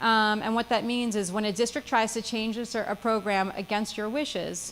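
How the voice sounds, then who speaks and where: A woman speaks with a fairly high pitch. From New Jersey. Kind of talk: seminar talk. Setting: seminar with live audience. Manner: fast.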